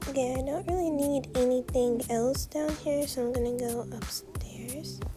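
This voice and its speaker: A woman's moderate pace is set against music in the background. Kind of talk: casual role play narration. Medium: role play.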